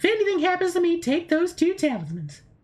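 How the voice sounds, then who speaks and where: A squeaky, put-on character voice moves along at a fairly quick pace. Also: woman, extremely high pitch for a woman. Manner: creepy.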